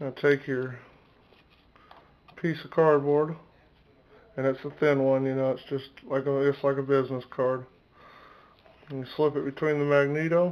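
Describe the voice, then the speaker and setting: Monotone and flat in intonation, a man talks at a moderate pace with long, frequent pauses. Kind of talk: tutorial. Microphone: phone near.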